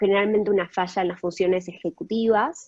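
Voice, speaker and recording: This is a woman with a medium pitch and a normal speaking voice. Her intonation stays fairly even. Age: 20s. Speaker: guest speaker sharing personal experience. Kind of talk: testimony.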